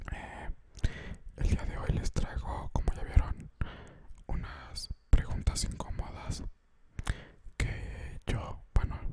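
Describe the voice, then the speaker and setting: Against loud background noise, the speech moves at a very slow pace with long, frequent pauses. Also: man. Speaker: ASMR creator. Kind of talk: casual vlog chat. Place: home room. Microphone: studio mic.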